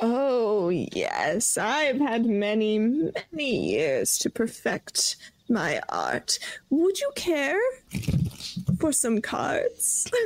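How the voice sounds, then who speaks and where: A female-sounding voice puts on a character voice pitched high. She speaks at a very slow pace. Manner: knowing, mysterious, cackling.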